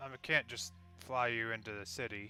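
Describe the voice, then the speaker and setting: Over clear background music, a man at medium pitch performs a put-on character voice. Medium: actual play. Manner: casual, laid-back.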